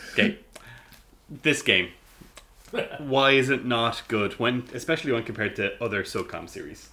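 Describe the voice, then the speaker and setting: A man's bright, sharp, medium-pitched voice with an Irish accent, lively intonation, a moderate pace, and long, frequent pauses. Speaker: gaming podcast host. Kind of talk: casual chat.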